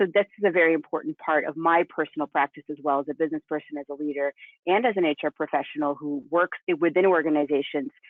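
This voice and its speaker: A woman's very deep, low voice at a very fast pace, with ordinary pitch variation. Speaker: HR professional and business leader. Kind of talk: panel presentation.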